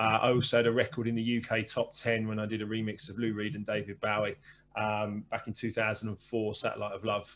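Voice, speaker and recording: In a southern English accent, a man talks at a fairly quick pace with monotone, flat intonation. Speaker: former DJ, business coach and author. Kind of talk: interview.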